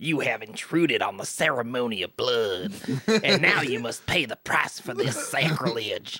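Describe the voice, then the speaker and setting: Using a put-on character voice, a man speaks at medium pitch with lively intonation. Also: moderate pace. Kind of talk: formal, archaic. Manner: solemn, ominous, ceremonial.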